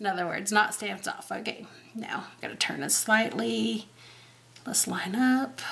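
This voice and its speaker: Loudness swings widely as a woman speaks over noticeable background noise. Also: moderate pace. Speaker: card-making crafter. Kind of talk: craft tutorial. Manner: casual, chatty.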